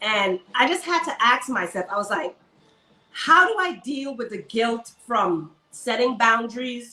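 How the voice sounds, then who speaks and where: In a Caribbean accent, a woman speaks at a fairly slow pace, her high voice carrying lively intonation. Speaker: army servicewoman and luxury shopper. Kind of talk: interview.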